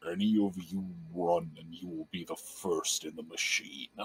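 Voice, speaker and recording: Putting on a menacing character voice, a man speaks very deep and low in a flat monotone at a moderate pace, with big swings in loudness. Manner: menacing, threatening.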